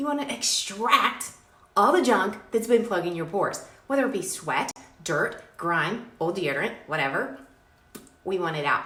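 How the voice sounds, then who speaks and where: With an animated tone and very wide pitch swings, a woman at medium pitch speaks over noticeable background noise and audible room echo. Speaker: skincare brand owner. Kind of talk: product pitch. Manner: fast.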